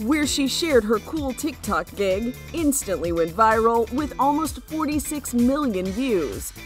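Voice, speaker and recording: Music plays in the background as a woman speaks at a fairly slow pace. Her high voice moves in very wide pitch swings. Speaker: news reporter. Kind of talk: news feature narration.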